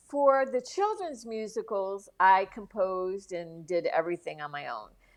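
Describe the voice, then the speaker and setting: This woman has a normal speaking voice at a medium pitch, moving at a moderate pace with lively intonation and big swings in loudness against a quiet background. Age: 60s. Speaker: founder and musical creator, podcast guest. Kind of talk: casual interview chat.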